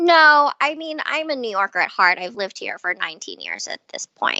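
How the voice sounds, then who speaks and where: With lively intonation, a woman's speech moves at a moderate pace. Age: 40s. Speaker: yoga teacher, former investment banker. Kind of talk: interview.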